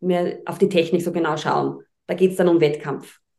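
A woman is speaking here. Her tone is dark and mellow, and her intonation fairly even. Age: 40s. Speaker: presenter and speech trainer. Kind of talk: podcast interview.

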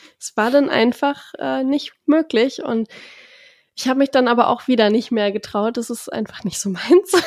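With a high pitch and lively intonation, a woman speaks at a moderate pace in a dry, close sound with no echo. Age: 20s. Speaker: podcast co-host. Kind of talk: casual chat.

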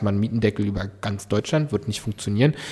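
Somewhat breathy, a man speaks in a fairly low pitch. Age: 20s. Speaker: local politician. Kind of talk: casual interview. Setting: council building room.

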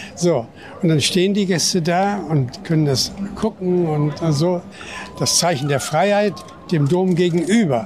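A man with a high pitch talks at a fairly slow pace with long, frequent pauses, ordinary pitch variation and very even loudness, over noticeable background noise. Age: 80s+. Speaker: city tour guide. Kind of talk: interview. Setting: outdoors.

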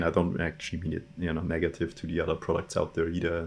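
A man with a German accent talks in a very deep, low voice with monotone, flat intonation. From Austria. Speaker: database product manager. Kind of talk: casual interview.

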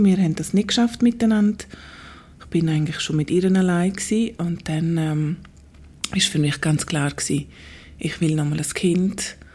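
A woman talks at a moderate pace with long, frequent pauses. Her voice is somewhat breathy, dark and mellow, at a medium pitch with ordinary pitch variation. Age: 40s. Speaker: midwife. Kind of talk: interview, personal testimony.

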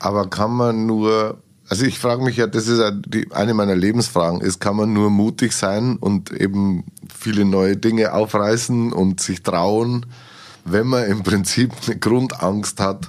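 Using a plain, everyday voice, a man speaks at a fairly slow pace with a fairly low pitch, fairly even intonation and very even loudness. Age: 50s. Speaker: podcast host and entertainer. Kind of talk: interview. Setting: studio.

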